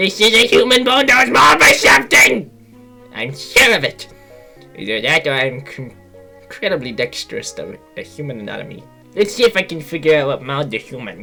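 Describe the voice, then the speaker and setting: A put-on character voice at a middle pitch and a fairly quick pace, with faint music in the background. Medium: read story. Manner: eager, excitable.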